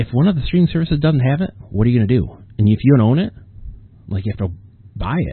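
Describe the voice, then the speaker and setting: The man speaks at a very fast pace. His pitch swings are very wide. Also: medium pitch for a man. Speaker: podcast host and author. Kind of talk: solo casual monologue. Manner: rambling, hesitant with fillers.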